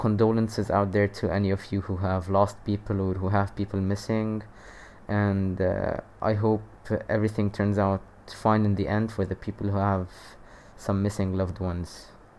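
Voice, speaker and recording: A man's fairly low voice moves at a moderate pace with monotone, flat intonation. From Lebanon. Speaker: youtuber. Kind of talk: casual commentary. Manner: hesitant, many fillers.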